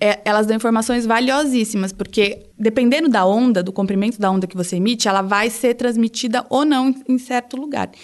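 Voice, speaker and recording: A woman with a normal speaking voice talks at a fairly high pitch with ordinary pitch variation against a quiet background. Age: 20s. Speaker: geologist. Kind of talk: casual science explanation.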